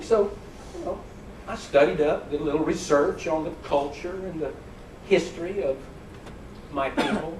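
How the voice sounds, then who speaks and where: Amid noticeable background noise, a man with an American accent and fairly high pitch speaks at a moderate pace with ordinary pitch variation and long, frequent pauses. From southern United States. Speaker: stand-up comedian. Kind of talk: stand-up comedy routine to a live audience. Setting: live performance on a cruise ship. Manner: friendly, upbeat, storytelling.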